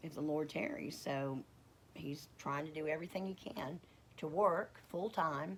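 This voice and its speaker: In a Southern US accent, a woman speaks with a very deep, low pitch and ordinary pitch variation. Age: 50s. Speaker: homesteading vlogger. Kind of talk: casual vlog. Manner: halting, with stutters and fillers.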